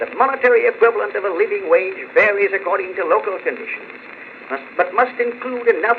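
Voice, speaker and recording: Fairly quick speech from a man in an American accent, noticeable background noise behind it. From United States. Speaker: politician giving a public speech. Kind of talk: political speech, oratory. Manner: forceful, emphatic.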